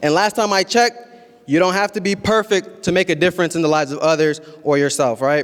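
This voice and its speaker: A man talks very fast in a high voice, with ordinary pitch variation. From Columbus, Ohio, US (Somali Bantu family, born in Kenya). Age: 20s. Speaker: community organizer, nonprofit founder. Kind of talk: public speech.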